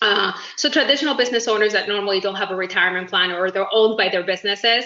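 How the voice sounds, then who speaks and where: A woman's medium-pitched voice at a very fast pace, with noticeable background noise. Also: ordinary pitch variation. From Uruguay. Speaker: network marketing business owner. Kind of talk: self-introduction in video meeting. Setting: video call.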